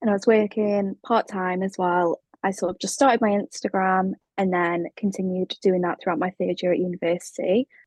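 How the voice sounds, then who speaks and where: In a British accent, a woman talks at a fairly quick pace. Her pitch is medium, with ordinary variation. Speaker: brand and web designer, studio founder. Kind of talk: casual interview chat. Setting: remote call.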